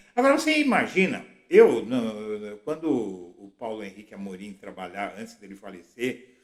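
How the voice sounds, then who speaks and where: Talking at a moderate pace with hardly any pauses, a man's loudness swings in a big way. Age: 60s. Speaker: political blogger. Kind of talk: political commentary monologue.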